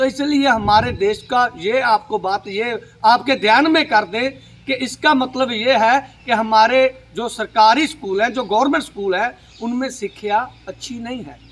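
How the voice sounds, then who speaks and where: A man's extremely high-pitched voice with ordinary pitch variation and big swings in loudness. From Punjab, India. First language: Punjabi (speaking Hindi). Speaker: social media commentator. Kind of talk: political monologue to camera. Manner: halting, many fillers.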